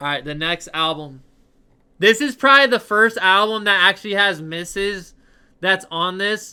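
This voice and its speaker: Raising and projecting his voice, a man talks at a moderate pace with a high pitch, ordinary pitch variation and a bright, sharp, animated tone. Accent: American. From Ohio, Cleveland. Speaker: streamer. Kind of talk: casual live-stream chat, album ranking. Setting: live stream.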